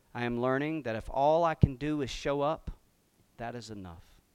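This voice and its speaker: A man talks at a moderate pace with fairly even intonation. The recording is very clean, with a silent background. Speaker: pastor. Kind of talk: sermon. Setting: church.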